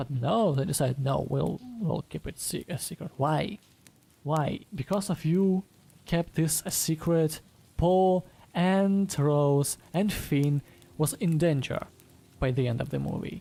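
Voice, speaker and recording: Quietly and at a fairly slow pace, a woman speaks in a very deep, low, dark and mellow voice with ordinary pitch variation and long, frequent pauses. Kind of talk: casual podcast review talk.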